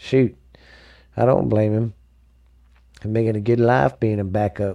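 Speaking at a fairly slow pace with long, frequent pauses, a man has an American accent and a fairly low pitch with a dark, mellow tone. The recording is very clean, with a silent background. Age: 40s. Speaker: sports podcast host. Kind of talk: casual solo sports podcast. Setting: home studio. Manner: animated.

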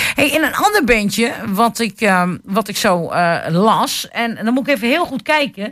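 Hardly any pauses break up this fairly slow delivery. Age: middle-aged. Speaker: local radio host. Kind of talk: casual radio chat. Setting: radio studio.

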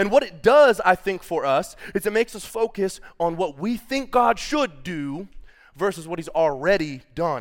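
Speaking in an animated tone, a man with a high voice swings his pitch very widely on a very clean recording over a silent background. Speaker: preacher. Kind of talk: sermon. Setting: church with congregation. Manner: fast.

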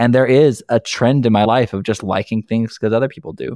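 In a dry, close sound with no echo, a man with an American accent talks at a fairly quick pace in a fairly low voice. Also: very clean recording, silent background. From Nebraska, US Midwest. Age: 30s. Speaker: social media influencer and dancer. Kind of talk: podcast interview, personal testimony.

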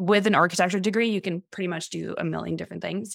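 Sounding dry and close with no echo, a woman talks at a very fast pace and medium pitch, with vocal fry and ordinary pitch variation. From France. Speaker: architect. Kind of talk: interview.

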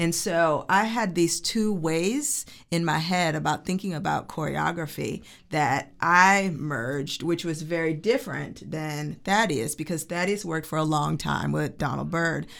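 A woman speaks at a fairly slow pace with a fairly low pitch, ordinary pitch variation, and vocal fry. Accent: American. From Chicago suburbs, US Midwest. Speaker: choreographer and dancer. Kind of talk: interview.

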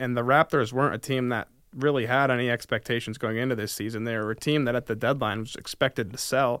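A man speaks with an American accent at a fairly quick pace, in an ordinary speaking voice. His pitch sits in the medium range, and his intonation stays fairly even. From upstate New York, near Albany. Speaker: sports podcast co-host, student. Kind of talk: casual sports chat.

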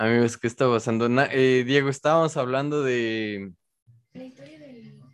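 A man with an unremarkable speaking voice talks in fairly even intonation, his loudness swinging widely. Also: medium pitch for a man, moderate pace. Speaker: podcast host. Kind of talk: casual chat.

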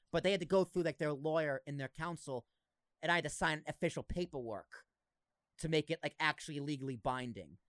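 A man's fairly high voice with a slight Boston accent, ordinary pitch variation and a fairly quick pace. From Massachusetts. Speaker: podcast host. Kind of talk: casual chat. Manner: animated.

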